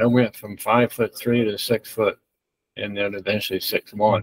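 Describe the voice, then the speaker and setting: Over a quiet background, a man speaks in a monotone, flat intonation, the sound dry with no echo. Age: 80s+. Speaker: track coach. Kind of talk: interview answer. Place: home room. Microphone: webcam.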